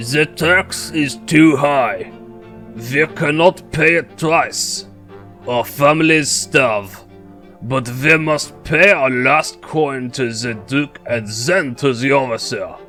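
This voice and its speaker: A gruff, put-on character voice talks at a very slow pace, with clear music playing in the background. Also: man, fairly high pitch for a man. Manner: desperate, grim.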